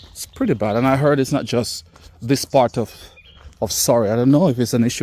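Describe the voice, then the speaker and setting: A man with a Caribbean accent speaks at a fairly quick pace. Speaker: vlogger. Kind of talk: walking vlog commentary. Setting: outdoors. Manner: animated.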